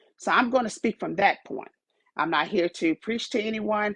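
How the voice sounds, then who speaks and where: A woman's fairly high voice with vocal fry and very wide pitch swings. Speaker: podcast host. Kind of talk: motivational talk. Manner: halting.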